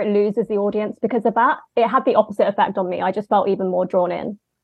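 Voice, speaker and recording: In a London accent, a woman speaks at a very fast pace with a fairly high pitch. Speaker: film editor and writer. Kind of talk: casual chat.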